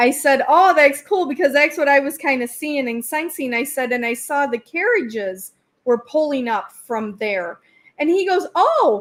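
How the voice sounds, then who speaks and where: With a Wisconsin accent, a woman speaks at a moderate pace. Her high pitch makes very wide swings. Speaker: psychic medium. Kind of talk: interview.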